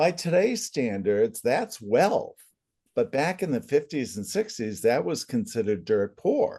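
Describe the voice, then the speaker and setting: A man with a New England accent talks at a fairly slow pace in a fairly high pitch, his dark, mellow tone carrying vocal fry and very wide pitch swings. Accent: New England American. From central Massachusetts. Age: 70s. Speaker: family constellations facilitator, former comedian. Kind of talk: interview.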